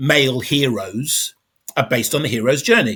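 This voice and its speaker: At a moderate pace and medium pitch, a man uses a normal speaking voice on a very clean recording with a silent background. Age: 50s. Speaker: podcast host. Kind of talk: casual interview chat.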